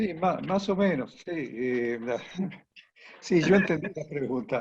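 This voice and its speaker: A man with a fairly high pitch talks at a very slow pace, his intonation lively. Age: 60s. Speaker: economist. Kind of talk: panel discussion.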